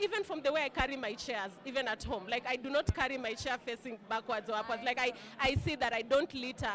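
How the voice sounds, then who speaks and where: Noticeable background noise sits behind a woman with a high pitch. She talks at a fairly quick pace with ordinary pitch variation. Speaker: alumna, working professional. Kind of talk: casual interview. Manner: loud, bold.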